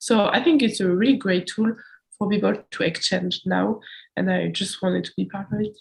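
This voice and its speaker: A woman with a French accent talks at a moderate pace. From France. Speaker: student podcast interviewer. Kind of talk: casual chat.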